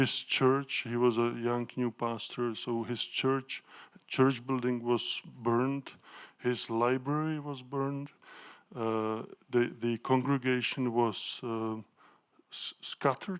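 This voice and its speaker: A man at a medium pitch with a Czech accent, monotone, flat intonation and a very slow pace. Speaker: professor of pedagogy. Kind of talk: lecture. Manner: halting.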